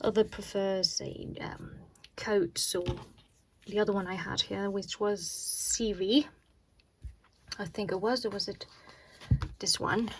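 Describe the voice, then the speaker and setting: Using a non-native accent, a woman speaks at a fairly slow pace with long, frequent pauses. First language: not English. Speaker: cross stitch video host. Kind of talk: casual unboxing tutorial. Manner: chatty, with frequent hesitations.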